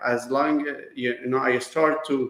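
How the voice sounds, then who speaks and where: A man with a Persian accent speaks in a fairly high pitch. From Iran. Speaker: business owner, kitchen designer. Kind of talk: interview. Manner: halting.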